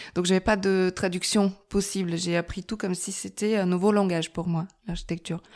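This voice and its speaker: In a very clean recording with a silent background, a woman with a Bulgarian accent talks fairly slowly in a medium pitch, her dark, mellow tone delivered with flat, monotone intonation. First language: Bulgarian (speaking French). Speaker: architect. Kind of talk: podcast interview. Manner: hesitant, many fillers.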